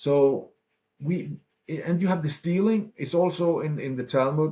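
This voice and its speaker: A man speaks in a somewhat breathy voice. His pitch is fairly high. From Denmark. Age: 60s. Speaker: political activist and ex-banker. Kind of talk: interview. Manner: animated.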